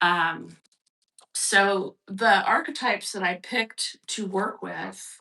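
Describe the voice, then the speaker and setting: At a very slow pace, a woman speaks with a medium pitch and ordinary pitch variation. Her tone is bright and sharp, with vocal fry. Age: 60s. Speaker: artist and recovery workshop leader. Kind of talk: workshop talk with reading aloud. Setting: livestream broadcast. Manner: hesitant, many fillers.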